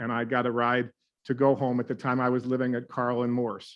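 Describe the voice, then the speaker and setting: A man talks at a moderate pace and medium pitch. He has a plain, everyday voice. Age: 60s. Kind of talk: briefing talk. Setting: meeting room with microphone. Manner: conversational.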